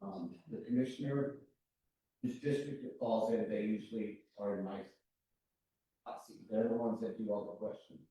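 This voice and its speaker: A man talks at a moderate pace with long, frequent pauses and big swings in loudness. There is audible room echo. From New Mexico, Valencia County. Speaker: planning commissioner. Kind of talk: public meeting discussion. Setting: county planning meeting.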